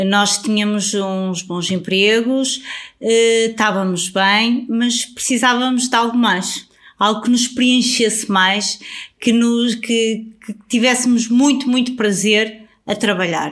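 A woman's speech comes very slowly, with intonation that stays fairly even. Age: 40s. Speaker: travel influencer. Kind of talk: casual interview.

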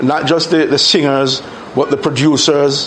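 A man's fairly high, monotone, flat voice at a moderate pace over noticeable background noise. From Jamaica, Kingston. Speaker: journalist and music historian. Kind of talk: interview. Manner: repeats words, stammering starts.

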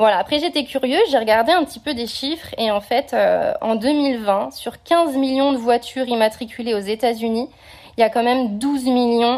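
An unremarkable speaking voice from a woman, fairly high in pitch with ordinary pitch variation. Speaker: French expat. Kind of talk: recorded voice message.

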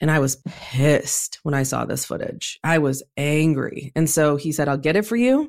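A woman talks with a very deep, low voice. The recording is very clean, and the background is silent. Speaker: entrepreneur and activist. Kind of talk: interview conversation.

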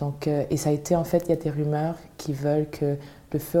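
Her voice is very deep and low, with a dark, mellow tone and monotone, flat intonation. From Montreal, Quebec. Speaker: singer. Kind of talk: interview.

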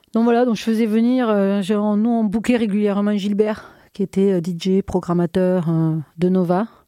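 At a fairly quick pace, a woman's dark, mellow voice sounds dry and close with no echo, on a very clean recording with a silent background. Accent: southern French. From southern France, Minervois near Carcassonne. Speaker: club night organizer. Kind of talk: casual interview.

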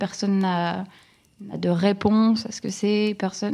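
Fairly even in intonation, a woman speaks at a medium pitch with a dark, mellow tone. The background is quiet. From northern France, Lille area. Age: 30s. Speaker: content creator. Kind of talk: interview. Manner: halting.

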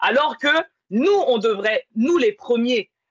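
In a dry, close sound with no echo, a woman makes very wide pitch swings at a very slow pace. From France, working-class neighborhood. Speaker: podcast host. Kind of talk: casual chat.

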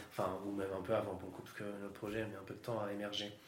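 A man talks at a very fast pace, with noticeable background noise and audible room echo around him. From Yvelines, France. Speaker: podcast host and public speaking trainer. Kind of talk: casual interview chat.

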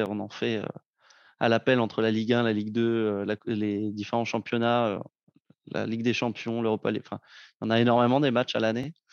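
In a dry, close recording with no echo and a quiet background, a man with a plain, everyday voice speaks at a moderate pace, medium pitch and fairly even intonation. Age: 20s. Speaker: broadcast equipment manager. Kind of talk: casual chat.

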